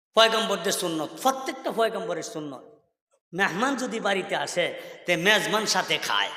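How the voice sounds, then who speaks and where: A man with a high pitch uses a raised, projected voice and an animated tone. His intonation is lively, and audible room echo surrounds him. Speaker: Islamic preacher. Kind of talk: sermon. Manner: animated storytelling.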